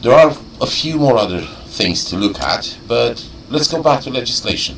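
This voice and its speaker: Audible room echo surrounds a man with a non-native accent who speaks at a fairly slow pace with lively intonation. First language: not English. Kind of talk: explanatory video message. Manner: halting, searching for words.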